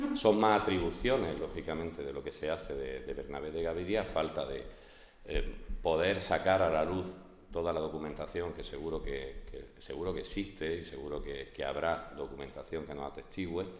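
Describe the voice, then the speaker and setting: A man talks at a moderate pace amid noticeable background noise and audible room echo. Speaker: art historian lecturer. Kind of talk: lecture. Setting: conference hall with audience. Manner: hesitant, many fillers. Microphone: speaking without microphone.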